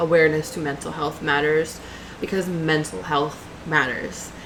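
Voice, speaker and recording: A woman with an American accent speaks against noticeable background noise. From New York. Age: 20s. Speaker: YouTuber and grad student. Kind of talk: casual vlog introduction. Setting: home webcam recording. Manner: energetic, chatty.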